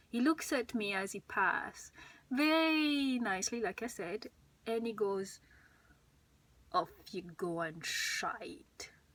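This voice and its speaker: In a French accent, a woman speaks at a fairly slow pace. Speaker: YouTuber sharing personal experience. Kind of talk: personal testimony vlog. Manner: halting, hesitant.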